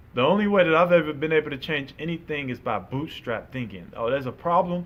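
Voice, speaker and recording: Talking at a very fast pace, a man with an American accent uses a fairly high pitch, lively intonation and an animated tone. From Chicago, US Midwest. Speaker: podcast co-host. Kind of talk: casual opinion chat.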